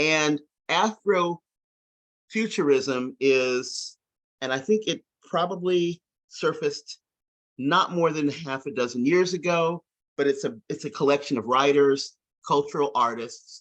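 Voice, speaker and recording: A man with an American accent speaks at a fairly slow pace, with long, frequent pauses and ordinary pitch variation. The sound is dry and close, with no echo. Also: fairly high pitch for a man. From US South, rural. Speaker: science fiction discussion group member. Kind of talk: casual discussion. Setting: video call.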